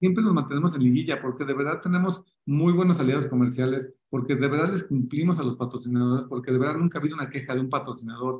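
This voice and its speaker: Somewhat breathy and fairly high-pitched, a man rushes along at a very fast pace with hardly any pauses. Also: ordinary pitch variation. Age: 40s. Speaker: football club marketing director. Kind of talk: interview. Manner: halting.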